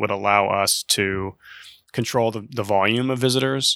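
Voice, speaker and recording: A man with an American accent speaks at a fairly low pitch in a bright, sharp tone and fairly even intonation, recorded very cleanly against a silent background with a dry, close sound and no echo. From Oklahoma. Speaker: artistic director of an art center. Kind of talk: interview conversation.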